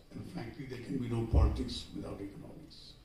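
A man talks at a fairly quick pace amid audible room echo and light background noise. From India. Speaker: director of a trade institute, economist; conference speaker. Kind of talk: conference address. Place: hall.

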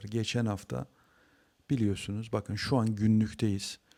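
A man talks at a fairly slow pace in an ordinary speaking voice, medium in pitch. The sound is dry and close with no echo, in a very clean recording with a silent background. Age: 40s. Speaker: trading educator. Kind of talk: market analysis tutorial. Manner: casual with frequent fillers.

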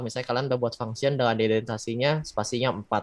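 A man delivers his words at a very fast pace with fairly even intonation. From Bandung, West Java, Indonesia. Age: 20s. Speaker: backend developer. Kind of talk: tutorial. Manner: casual.

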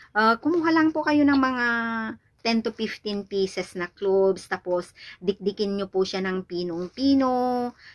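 A woman talks at a fairly slow pace in a fairly high voice. Her intonation is lively, and the background is quiet. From Philippines. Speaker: vlogger. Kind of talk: product tutorial vlog; casual vlog chat. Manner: halting. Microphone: phone near.

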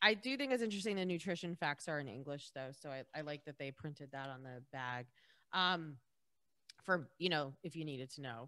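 The voice is animated, bright and sharp, with lively intonation and big swings in loudness. It moves at a fairly quick pace over a quiet background. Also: woman, very deep, low pitch for a woman. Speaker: podcast co-host. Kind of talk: casual chat. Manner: animated, laughs often. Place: home room. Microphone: studio mic.

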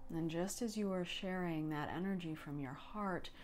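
Faint music plays in the background as a woman speaks in a calm tone with ordinary pitch variation. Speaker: meditation guide. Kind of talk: guided meditation. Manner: slow, calm. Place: home room.

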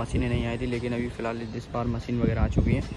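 Behind the man, noticeable background noise can be heard. His pace is fairly quick, and the sound is dry, with no echo. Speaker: local vlogger. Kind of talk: casual vlog chat. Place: open country. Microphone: phone near.

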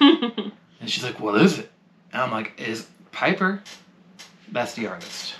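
Light background noise sits beneath talking that proceeds at a moderate pace. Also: man. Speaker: comic channel co-host. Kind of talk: casual vlog chat. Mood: cheerful, excited about win. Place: home room.

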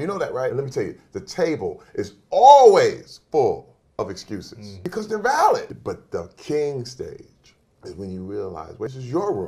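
Here a man talks at a moderate pace. The background is quiet. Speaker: interview guest. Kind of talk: motivational speech. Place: studio.

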